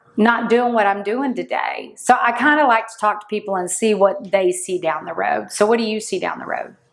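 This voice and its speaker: With an unremarkable speaking voice, a woman talks at a fairly high pitch and a moderate pace. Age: 60s. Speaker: podcast host, insurance leader. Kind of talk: interview conversation.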